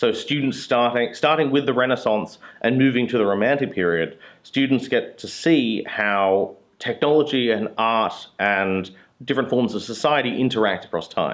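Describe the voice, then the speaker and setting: A man speaks with an Australian accent. His pitch sits in the medium range. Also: ordinary pitch variation, moderate pace. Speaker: university lecturer. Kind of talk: interview talk. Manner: casual, with hesitations.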